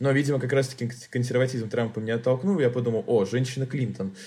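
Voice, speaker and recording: A man's medium-pitched, dark, mellow, somewhat breathy voice with ordinary pitch variation at a very fast pace. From Tolyatti, Russia. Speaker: journalist. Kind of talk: casual chat.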